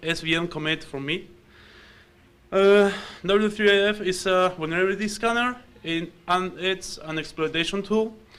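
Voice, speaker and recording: A man with an Argentine accent speaks at a moderate pace in a bright, sharp tone with ordinary pitch variation. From Argentina. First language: Spanish. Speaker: security researcher and programmer. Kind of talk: conference talk.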